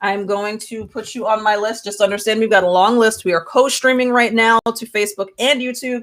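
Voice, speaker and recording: Fairly even intonation from a woman with a fairly high voice, at a moderate speed. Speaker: tarot reader. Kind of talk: live stream tarot reading. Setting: live stream. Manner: loud.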